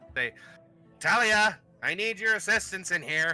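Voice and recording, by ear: Faint music plays as a man performs a put-on character voice at a high pitch. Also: moderate pace.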